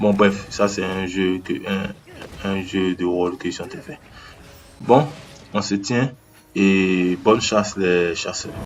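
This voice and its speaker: Through noticeable background noise, a man with a fairly low pitch speaks at a very slow pace, with long, frequent pauses, fairly even intonation and big swings in loudness. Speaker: gaming youtuber. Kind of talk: improvised video commentary. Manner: halting, searching for words. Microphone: no microphone, low sound quality.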